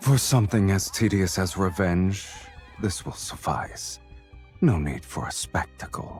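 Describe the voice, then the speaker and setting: A man in a put-on character voice, fairly low in pitch, at a moderate pace over clear music in the background. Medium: video game. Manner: cold, terse.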